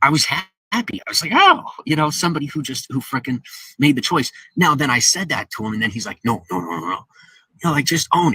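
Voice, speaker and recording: Pitched fairly high, a man speaks very fast with very wide pitch swings and vocal fry. His tone is bright and sharp, and the sound is dry and close with no echo. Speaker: live streamer. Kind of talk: live stream chat. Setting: live stream. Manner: halting, stumbling over words.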